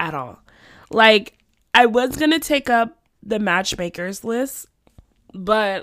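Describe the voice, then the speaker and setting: A woman with an American accent at a very slow pace and lively intonation, in a very clean recording with a silent background. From US South, Florida. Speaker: book podcast host. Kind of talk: casual book review monologue.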